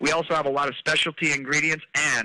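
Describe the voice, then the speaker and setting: A man talks at a fairly quick pace with a bright, sharp tone. His pitch sits fairly high. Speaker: network marketing presenter. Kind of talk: sales pitch. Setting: webinar. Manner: fast; animated.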